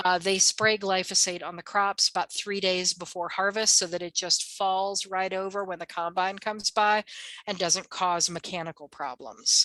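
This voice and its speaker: A woman with an American accent talks in an ordinary speaking voice at medium pitch, with fairly even intonation. Her pace is moderate, and the sound is dry and close with no echo. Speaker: herbalist. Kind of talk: workshop presentation.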